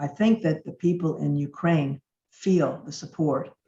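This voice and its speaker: Somewhat breathy, this woman's voice sits at a very deep, low pitch. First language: Yiddish and Russian. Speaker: speaker. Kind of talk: speech.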